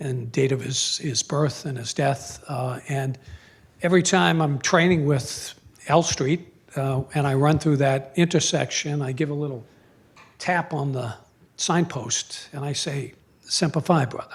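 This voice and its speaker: A man with an American accent speaks fairly slowly and somewhat breathily, with ordinary pitch variation. The recording is very clean, the background silent. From Boston area, Massachusetts. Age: 60s. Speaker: retired Marine colonel and former prosecutor. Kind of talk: public talk. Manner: halting, many fillers.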